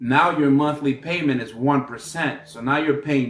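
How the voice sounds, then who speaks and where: At a fairly slow pace, a man talks in a plain, everyday voice with fairly high pitch. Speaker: business credit educator. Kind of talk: unscripted tutorial.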